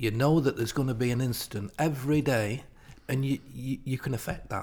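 A man with a Lancashire accent, medium pitch and a somewhat breathy voice, on a very clean recording with a silent background. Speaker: retired PE teacher. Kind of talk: casual chat.

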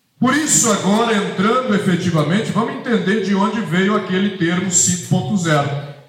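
A man with a high pitch talks at a fairly slow pace with ordinary pitch variation. Audible room echo and noticeable background noise surround him. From Minas Gerais, Brazil. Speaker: agronomy professor. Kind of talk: lecture.

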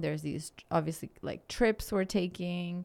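A woman with a non-native accent speaks at a fairly slow pace and fairly low pitch. The recording is very clean and the background silent. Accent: foreign. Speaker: podcast co-host. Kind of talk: casual chat. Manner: laughs often.

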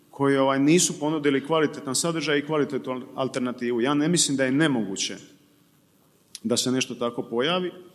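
There is noticeable background noise behind this man. His fairly high pitch shows ordinary variation. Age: 30s. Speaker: PR consultant. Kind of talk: panel discussion.

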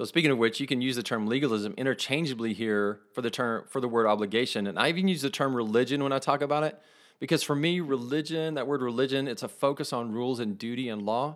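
In a Texas accent, a man with a medium pitch and ordinary pitch variation speaks at a very fast pace on a very clean recording with a silent background. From West Texas. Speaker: podcast host. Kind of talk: casual faith talk monologue.

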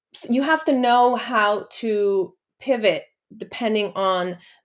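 A woman with a Spanish accent speaks at a very slow pace, medium in pitch with ordinary variation. The recording is very clean, with a silent background. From Guatemala. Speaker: lawyer and diversity leader. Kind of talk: podcast interview about personal story.

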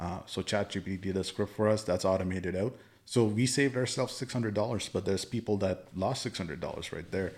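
A man with an unremarkable speaking voice talks at a fairly quick pace with hardly any pauses, fairly low pitch and ordinary pitch variation, in a very clean recording with a silent background. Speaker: podcast host. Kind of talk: casual chat.

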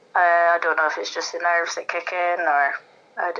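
With a Scottish accent, a woman speaks at a fairly low pitch in a bright, sharp tone. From Scotland. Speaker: darts player. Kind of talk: casual interview.

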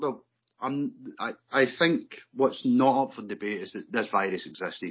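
A man with a medium pitch speaks with an English accent. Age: 50s. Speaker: vaccine-injured construction worker. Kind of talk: interview.

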